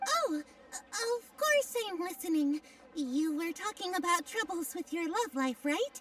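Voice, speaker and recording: A female-sounding, put-on character voice speaks at an extremely high pitch and a fairly slow pace. Clear background noise runs underneath. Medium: video game. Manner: theatrical, mysterious.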